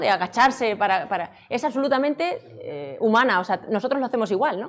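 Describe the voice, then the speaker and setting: A woman with fairly high pitch and lively intonation at a moderate pace. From Extremadura, Spain (Badajoz); Extremadura, Spain. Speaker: robotics researcher and lecturer; lecturer. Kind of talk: conference talk. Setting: stage with audience. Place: hall.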